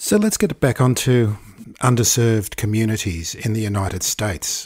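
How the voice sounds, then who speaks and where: A man with a plain, everyday voice, fairly low pitch, ordinary pitch variation, and moderate pace, on a very clean recording with a silent background. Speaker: podcast host. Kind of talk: interview with ad reads.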